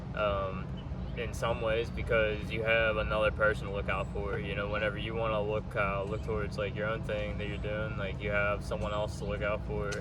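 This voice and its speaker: A man with an American accent speaks at a moderate pace. The audio has audible room echo and noticeable background noise. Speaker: thru-hiker. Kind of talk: casual interview.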